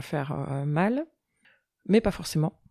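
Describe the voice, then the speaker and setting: Here a woman has an unremarkable speaking voice, fairly low in pitch, at a moderate pace. The sound is dry and close with no echo, on a very clean recording with a silent background. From Europe. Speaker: shaman. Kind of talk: podcast interview.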